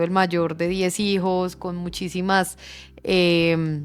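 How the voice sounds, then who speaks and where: The speaker talks in a flat monotone. It comes with an Antioquian accent. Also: woman. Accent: Colombian paisa Spanish. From Colombia, Medellín (paisa). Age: 20s. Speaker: economist, business association director. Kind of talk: interview. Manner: hesitant fillers.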